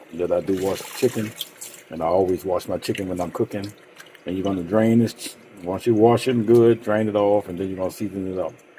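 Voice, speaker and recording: A man talks at a very fast pace with fairly even intonation. His loudness swings widely, and noticeable background noise can be heard. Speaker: cooking channel host. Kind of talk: cooking tutorial. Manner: casual, hesitant with many ums.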